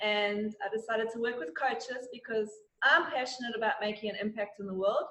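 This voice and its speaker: With an Australian accent, a woman's fairly high, bright, sharp voice moves at a moderate pace with fairly even intonation. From South Africa. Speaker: digital marketing consultant. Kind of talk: interview.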